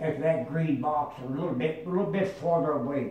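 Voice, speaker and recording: Against noticeable background noise, a man with a fairly high pitch speaks at a moderate pace with fairly even intonation. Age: 80s+. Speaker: WW2 veteran. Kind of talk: interview answer.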